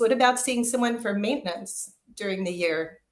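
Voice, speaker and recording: Audible room echo surrounds a woman with a fairly high voice. Her intonation is lively and her pace fairly quick. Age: 50s. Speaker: holistic wellness practitioner. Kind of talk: interview podcast conversation.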